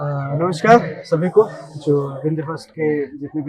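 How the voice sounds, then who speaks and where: A man's fairly high-pitched voice comes through with noticeable background noise behind it. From India, Rewa, Madhya Pradesh. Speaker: actor. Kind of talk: interview.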